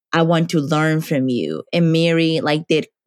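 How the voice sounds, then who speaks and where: A woman with a Spanish accent speaks at a fairly low pitch with fairly even intonation, the sound dry and close with no echo. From Dominican Republic. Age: 20s. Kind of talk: interview conversation.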